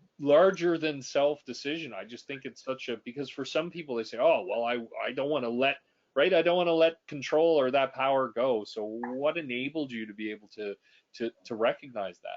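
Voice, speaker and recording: Sounding enthusiastic, a man with a Canadian accent talks at a fairly quick pace and fairly high pitch with ordinary pitch variation. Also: big swings in loudness. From Canada. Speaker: executive coach and podcast host. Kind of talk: interview conversation. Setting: webinar video call. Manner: enthusiastic, repetitive false starts.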